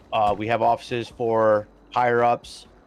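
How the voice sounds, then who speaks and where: A man's voice with noticeable background noise. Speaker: gaming streamer showing a roleplay server. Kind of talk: live game walkthrough. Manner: halting, many fillers; casual.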